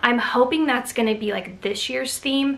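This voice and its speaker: A woman's enthusiastic voice at a moderate pace, with ordinary pitch variation, over loud background noise. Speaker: craft vlogger. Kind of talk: casual product haul video. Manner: casual, chatty, enthusiastic. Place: home room. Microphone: camera far.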